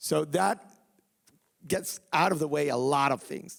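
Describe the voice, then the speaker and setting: A man with a Venezuelan accent speaks with vocal fry. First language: Spanish. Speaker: activist and bereaved father. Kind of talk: live panel talk. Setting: theatre stage with audience. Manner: halting, many repetitions.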